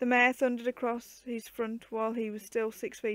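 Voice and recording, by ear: A natural voice reading aloud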